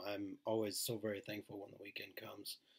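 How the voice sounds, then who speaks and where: A soft-spoken man with a fairly low pitch and a flat, monotone delivery. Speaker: network marketer doing live streams. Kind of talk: casual live stream chat. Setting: home live stream, baby sleeping nearby.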